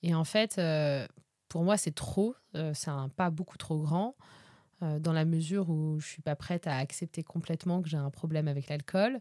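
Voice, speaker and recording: Recorded very cleanly with a silent background and a dry, close sound with no echo, a woman speaks in a dark, mellow tone at a very deep, low pitch with ordinary pitch variation. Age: 30s. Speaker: podcaster sharing personal sobriety journey. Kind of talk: personal testimony monologue. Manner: hesitant, frequent filler sounds.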